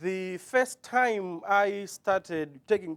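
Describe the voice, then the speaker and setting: A man with a Malawian accent, in a dry, close sound with no echo. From southern Malawi. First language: Chichewa. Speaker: author and former teacher. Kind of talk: interview.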